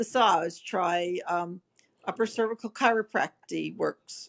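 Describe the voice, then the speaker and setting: The speaker talks at a fairly slow pace over a quiet background. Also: woman. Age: 60s. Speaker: facial pain patient sharing experience. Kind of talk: panel discussion on video call.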